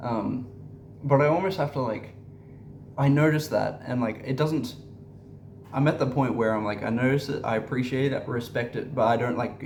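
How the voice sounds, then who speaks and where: Amid audible room echo, a man with vocal fry speaks at a moderate pace and medium pitch with ordinary pitch variation and long, frequent pauses. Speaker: spiritual content creator. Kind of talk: casual monologue vlog. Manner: halting, many fillers and repetitions.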